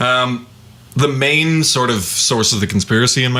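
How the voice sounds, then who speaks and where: Over noticeable background noise, a man with a medium pitch talks at a fairly slow pace. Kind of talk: casual podcast discussion.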